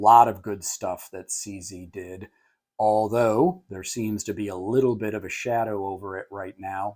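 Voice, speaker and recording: Against a silent background on a very clean recording, a man with a fairly low pitch talks fairly slowly with fairly even intonation. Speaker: firearms reviewer. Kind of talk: product review. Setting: indoor facility, no range. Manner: frequent filler 'uh'; casual, conversational.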